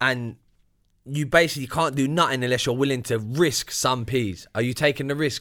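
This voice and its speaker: A man with a London accent speaks at medium pitch and a moderate pace, using ordinary pitch variation. His tone is bright and sharp, and the recording is very clean with a silent background. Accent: London multicultural English. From UK. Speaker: podcast co-host. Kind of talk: casual chat.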